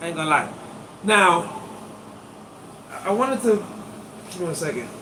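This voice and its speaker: A man with a high pitch speaks in a raised, projected voice at a moderate pace, animated in tone and lively in intonation. Audible room echo and noticeable background noise surround him. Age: 50s. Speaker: acupuncturist. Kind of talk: live stream demonstration. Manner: casual, animated.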